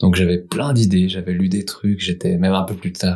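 Speaking at a fairly quick pace, a man uses a very deep, low pitch and a dark, mellow tone with monotone, flat intonation. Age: 40s. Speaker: market gardener. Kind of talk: casual chat.

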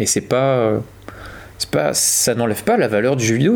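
A man with a medium pitch talks fairly quickly while noticeable noise sounds in the background. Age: 20s. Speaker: podcast co-host, teacher. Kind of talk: casual chat.

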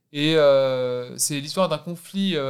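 A man's voice, fairly high in pitch. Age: 30s. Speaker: actor. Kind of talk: casual chat.

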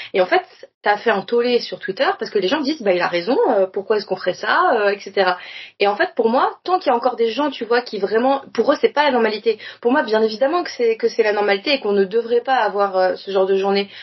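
The speaker rushes along at a very fast pace with lively intonation. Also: woman, fairly high pitch for a woman. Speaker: podcast guest. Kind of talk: casual chat.

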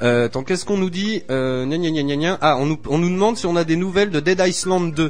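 A man talks at a high pitch and a moderate pace, with ordinary pitch variation and hardly any pauses. Noticeable background noise runs underneath. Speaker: radio show host. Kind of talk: live radio chat. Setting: radio studio. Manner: jovial, often laughing.

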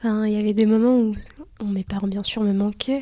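Dark, mellow tone with monotone, flat intonation at a moderate pace. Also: woman. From Lithuania, raised mostly in France. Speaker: student. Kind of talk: casual interview.

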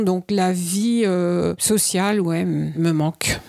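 With a dark, mellow tone and a medium pitch, the woman talks in a monotone, flat intonation. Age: 60s. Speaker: retiree. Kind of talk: casual interview. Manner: hesitant.

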